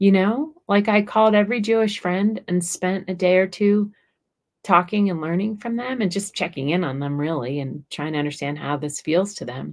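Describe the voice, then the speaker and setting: Lively intonation marks a woman's plain, everyday voice. She speaks at medium pitch and a moderate pace. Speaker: author and podcast host. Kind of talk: casual chat.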